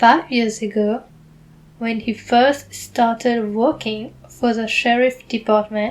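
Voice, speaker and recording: Speaking very slowly in a monotone, flat intonation, a woman with a strong non-native accent has a fairly high pitch. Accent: heavy foreign. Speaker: book reader. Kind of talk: reading aloud; casual aside.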